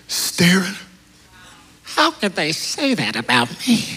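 A high male voice at a very slow pace, with noticeable background noise. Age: 30s. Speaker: pastor. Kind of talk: sermon. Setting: church with live congregation. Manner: animated.

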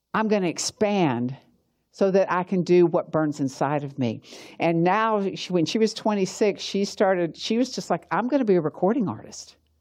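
A woman's medium-pitched voice with lively intonation at a moderate pace, over a quiet background. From US South, Georgia. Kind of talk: teaching talk with prayer.

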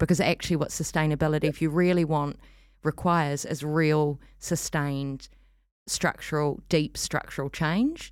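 Speaking at a moderate pace in a New Zealand accent, a woman has a very deep, low pitch and monotone, flat intonation. The recording is very clean, with a silent background. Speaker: arts festival director and performance artist. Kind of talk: casual interview. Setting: studio.

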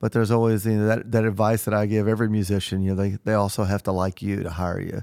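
Very fast with hardly any pauses, a man with an American accent talks in a dark, mellow tone at a fairly low pitch, his intonation monotone and flat, the sound dry and close with no echo in a very clean recording with a silent background. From Southern Illinois. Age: 50s. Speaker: touring musician. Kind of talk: interview.

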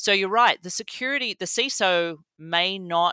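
Speaking with a slight Australian accent, a woman uses lively intonation and a bright, sharp tone at a moderate pace, the sound dry and close with no echo. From rural Australia. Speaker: cybersecurity executive. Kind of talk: interview. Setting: remote recording.

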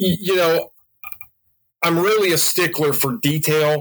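A man with a high pitch speaks at a very slow pace, his intonation lively. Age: 40s. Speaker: model railroad layout builder and parts business manager. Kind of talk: casual interview.

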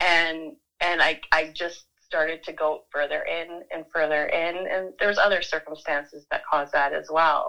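A woman talks with a Canadian accent at a moderate pace. She takes hardly any pauses against a quiet background. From Vancouver, Canada. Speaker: professional artist. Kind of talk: casual interview chat.

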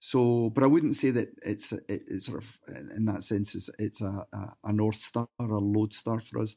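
A man with a Glaswegian accent speaks in a fairly low, dark and mellow voice. His intonation is fairly even, but his loudness swings widely. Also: moderate pace. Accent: Glaswegian Scottish. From Scotland, near Glasgow. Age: 50s. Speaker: singer in a rock band. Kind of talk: interview, casual chat.

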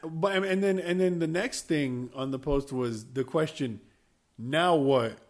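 This man talks at a fairly slow pace in a fairly high pitch with ordinary pitch variation, in an unremarkable speaking voice. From US, Cuban-American. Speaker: podcast co-host. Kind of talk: casual chat.

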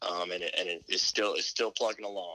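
A man speaks at a moderate pace with a fairly low pitch and a bright, sharp tone. The sound is dry and close, with no echo. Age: 20s. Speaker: college basketball staff coach. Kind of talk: interview. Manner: halting, many fillers.

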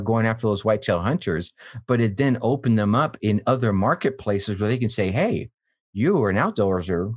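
Against a quiet background, a man with medium pitch and ordinary pitch variation speaks in an ordinary speaking voice. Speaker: entrepreneur and podcaster. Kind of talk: casual interview chat. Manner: warm, upbeat.

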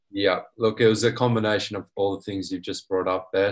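A man speaks with an Australian accent at a fairly low pitch. His intonation is flat and monotone, over a quiet background. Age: 20s. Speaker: small business owner, dent repair technician. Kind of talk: casual interview.

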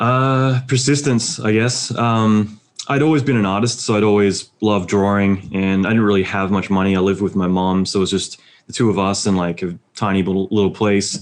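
With an American accent, a man talks at a fairly quick pace in a fairly low pitch, using ordinary pitch variation. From Australia. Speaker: visual effects supervisor. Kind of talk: casual interview.

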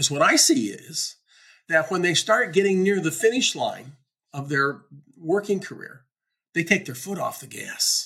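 A raised, projected voice with a bright, sharp tone and lively intonation, swinging widely in loudness. The pace is moderate, broken by long, frequent pauses. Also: man, high pitch for a man. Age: 70s. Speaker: business coach and podcast host. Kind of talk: solo monologue podcast.

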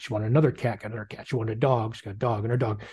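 Somewhat breathy male voice over a quiet background. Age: 40s. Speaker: online sales businessman. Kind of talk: casual chat.

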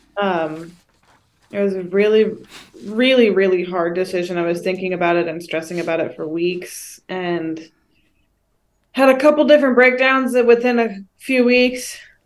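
A woman with a plain, everyday voice speaks at a moderate pace and a medium pitch. Her intonation is lively. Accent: American. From Northern California. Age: 20s. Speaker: college student, host's daughter. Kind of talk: casual chat. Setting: video call.

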